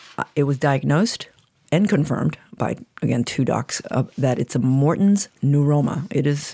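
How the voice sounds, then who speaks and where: With a very deep, low pitch and a dark, mellow tone, a woman speaks at a moderate pace with ordinary pitch variation. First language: Chinese. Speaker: guest receiving a reading. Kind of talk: casual conversational interview.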